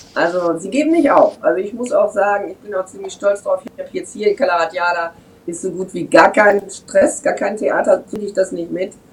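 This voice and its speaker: Over noticeable background noise, a woman talks fairly quickly at a medium pitch, with lively intonation and big swings in loudness. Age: 50s. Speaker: German expat on Mallorca. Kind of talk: casual chat.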